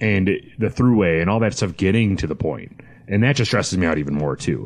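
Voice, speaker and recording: The speaker is a man. His pitch is fairly low. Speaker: podcast guest, whiskey podcaster. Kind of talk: casual chat. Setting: studio. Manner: monotone.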